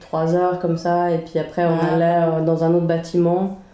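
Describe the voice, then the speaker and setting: A woman's fairly low, dark, mellow voice in a monotone, flat intonation, with audible room echo. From Sweden (Stockholm), then Geneva from age 11. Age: 20s. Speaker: podcast co-host. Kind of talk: casual chat. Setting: home kitchen.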